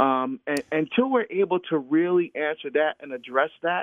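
With a plain, everyday voice and an American accent, a man speaks fairly slowly at a fairly high pitch, using lively intonation. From New Jersey (Newark area). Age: 50s. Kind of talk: interview conversation.

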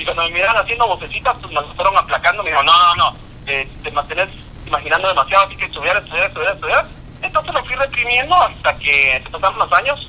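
Through noticeable background noise, a man talks at a very fast pace with big swings in loudness. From Guatemala. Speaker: voice actor and social media personality. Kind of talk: casual interview.

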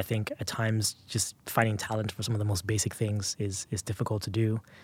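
Against a very clean recording with a silent background, a man speaks fairly quickly in a fairly low, somewhat breathy voice with monotone, flat intonation. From Nigeria (Lagos). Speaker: tech executive. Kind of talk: interview.

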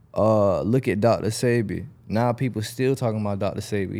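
This man has a fairly low pitch and a dark, mellow tone, and he talks at a moderate pace. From Jacksonville, Florida (Southside, Arlington). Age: 20s. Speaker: rapper. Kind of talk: casual chat.

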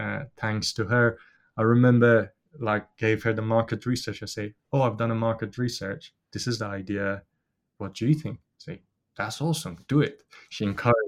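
A man speaks with a Persian accent and fairly even intonation. The recording is very clean, with a silent background. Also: medium pitch for a man, moderate pace. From Iran. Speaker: business founder. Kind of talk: interview. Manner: hesitant, with fillers.

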